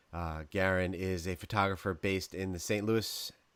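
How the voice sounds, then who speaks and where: This man speaks with a slight New York accent. His pace is moderate. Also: very clean recording, silent background. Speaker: podcast host. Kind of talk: casual interview chat.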